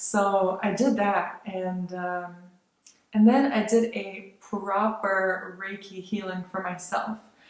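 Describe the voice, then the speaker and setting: A woman's medium-pitched voice, very slow and fairly even in intonation, with big swings in loudness and audible room echo. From born in Lithuania, grew up largely in the United States. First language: Lithuanian. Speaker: vlogger. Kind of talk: casual vlog monologue. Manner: casual, hesitant with fillers.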